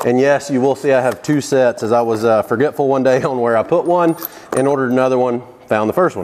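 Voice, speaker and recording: A man speaks with light background noise. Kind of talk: tutorial. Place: workshop. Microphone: lapel.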